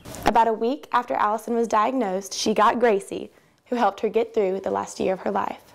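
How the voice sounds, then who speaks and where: With an American accent, a woman talks at a fairly quick pace in a fairly high pitch, with vocal fry and fairly even intonation. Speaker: television news reporter. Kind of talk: TV news reporter package narration.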